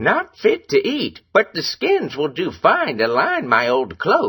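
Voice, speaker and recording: A man puts on a character voice and talks fairly slowly. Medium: read story.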